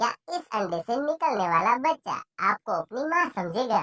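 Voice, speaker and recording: A woman puts on a cartoonish character voice at a fairly high pitch with very wide pitch swings. She keeps a moderate pace, and the sound is dry and close with no echo. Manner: gentle, warm.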